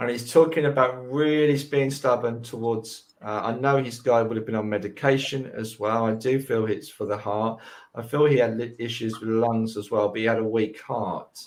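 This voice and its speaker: The speaker has a slight London accent and fairly even intonation. The pace is moderate. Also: man, medium pitch for a man. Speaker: medium. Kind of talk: live mediumship reading.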